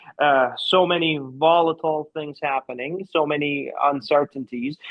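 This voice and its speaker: Here a man talks at a moderate pace with a fairly high pitch and fairly even intonation. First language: not English. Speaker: researcher, co-host. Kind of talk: casual chat.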